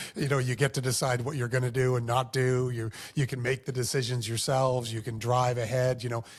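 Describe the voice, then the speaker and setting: This man talks at a fairly quick pace with hardly any pauses, his pitch medium for a man. His voice is somewhat breathy and his intonation monotone and flat. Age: 50s. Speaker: former mayor. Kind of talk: casual chat.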